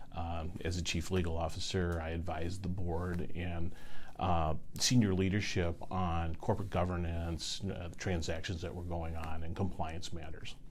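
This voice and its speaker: A man with an American accent and a very deep, low pitch, somewhat breathy, at a fairly quick pace and with fairly even intonation, in a room with audible echo. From US Midwest, central Illinois. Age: 60s. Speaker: state insurance commissioner. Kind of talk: interview.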